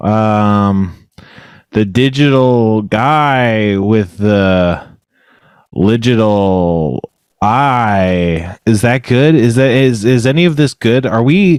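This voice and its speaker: On a very clean recording with a silent background, a man of medium pitch talks very slowly, with ordinary pitch variation and very even loudness. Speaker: podcast co-host. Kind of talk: casual chat. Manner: talks over others.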